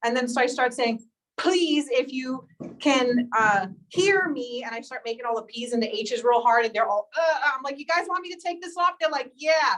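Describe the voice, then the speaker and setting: Loud and high-pitched, a woman speaks. Her intonation is lively. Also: moderate pace. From New York. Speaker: faculty trainer. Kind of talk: workshop presentation.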